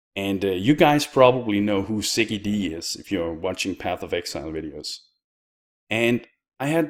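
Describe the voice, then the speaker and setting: A man speaks at a fairly slow pace with a Danish accent and lively intonation. The recording is very clean, with a silent background. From Denmark. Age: 20s. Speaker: YouTuber and streamer. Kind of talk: personal vlog.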